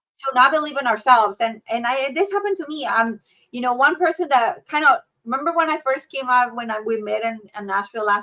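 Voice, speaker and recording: A woman with a Mexican accent, a bright, sharp tone, lively intonation and a very fast pace. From Mexico. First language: Spanish. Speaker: healthcare leader. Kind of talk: podcast interview.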